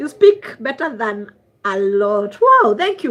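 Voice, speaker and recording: Here a woman speaks in a Kenyan accent at a moderate pace. Her pitch swings very widely. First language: Swahili. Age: 40s. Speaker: traditional healer. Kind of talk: livestream chat. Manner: code-switching English and Swahili.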